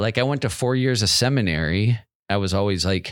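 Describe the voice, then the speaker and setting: With a Pacific Northwest accent, a man talks at a moderate pace and with lively intonation. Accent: General American, Pacific Northwest. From US Pacific Northwest, Federal Way near Seattle. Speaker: returned missionary. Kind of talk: casual interview, personal storytelling. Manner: casual with many fillers and hesitations.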